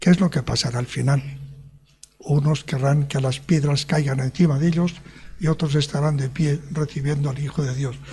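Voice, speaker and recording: This man's voice sits fairly high for a man, somewhat breathy, with fairly even intonation. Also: moderate pace. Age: 70s. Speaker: preacher. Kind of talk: sermon.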